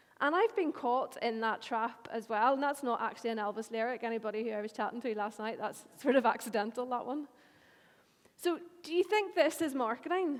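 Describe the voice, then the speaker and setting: A woman speaks with a Northern Irish accent at a high pitch. Her pace is fairly quick. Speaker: marketing agency owner. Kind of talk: conference talk.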